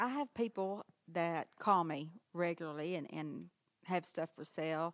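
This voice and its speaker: Speaking with a Southern US accent, a woman uses a fairly low pitch with ordinary pitch variation at a fairly slow pace. The sound is dry and close with no echo. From Arkansas, Harrisburg. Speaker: antique shop owner. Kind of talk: interview. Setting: in her shop.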